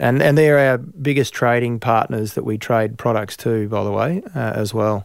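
A man of medium pitch talks with an Australian accent at a moderate pace. The recording is very clean, with a silent background. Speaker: farmer and industry body chair. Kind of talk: interview. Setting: studio in Melbourne.

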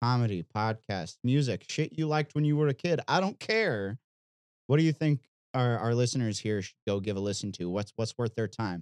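A man's plain, everyday voice with an American accent, medium pitch, lively intonation and moderate pace, in a dry, close sound with no echo against a quiet background. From Missouri. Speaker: podcast host and guitarist.

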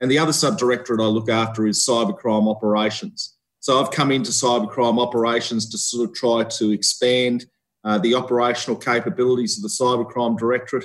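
Speaking very fast in an Australian accent, a man holds a medium pitch with ordinary pitch variation. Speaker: police officer. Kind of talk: interview. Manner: halting.

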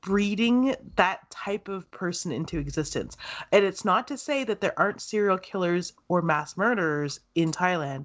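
This is an ordinary speaking voice with a Canadian accent, moving at a moderate pace with lively intonation. The background is quiet. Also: woman, medium pitch for a woman. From Canada, farming town. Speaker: podcast host. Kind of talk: casual chat.

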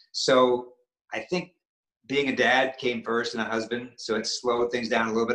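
In an American accent, a man of medium pitch speaks at a moderate pace with a bright, sharp tone. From US New England, Maine. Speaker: actor and stuntman. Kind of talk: interview.

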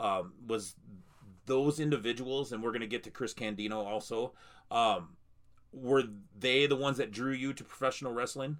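Moderate pace from a man with ordinary pitch variation, on a very clean recording with a silent background. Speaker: wrestling podcast host. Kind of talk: casual interview. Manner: filler-heavy, halting.

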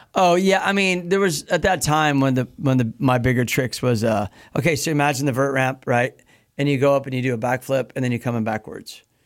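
In a very clean recording against a silent background, a man with an American accent talks at a fairly quick pace in an unremarkable speaking voice, medium in pitch with ordinary pitch variation. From US Midwest. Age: 50s. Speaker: pro BMX rider. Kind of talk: casual chat. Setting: studio.

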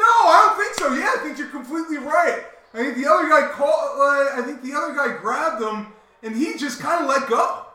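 A raised, projected voice with an American accent moves at a fairly quick pace with lively intonation, heard over audible room echo and noticeable background noise. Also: man, extremely high pitch for a man. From Delaware, near Philadelphia. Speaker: sports podcast co-host. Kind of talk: casual chat. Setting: live show.

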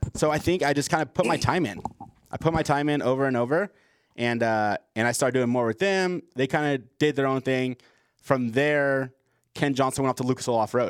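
He has a normal speaking voice. This man talks fairly quickly with ordinary pitch variation. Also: medium pitch for a man, very even loudness. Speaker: podcast host. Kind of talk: casual chat.

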